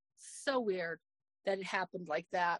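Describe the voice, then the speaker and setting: A woman with an American accent talks in an ordinary speaking voice at a moderate pace, her intonation lively and the sound dry and close with no echo. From Arizona. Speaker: social media video creator. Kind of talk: casual interview chat.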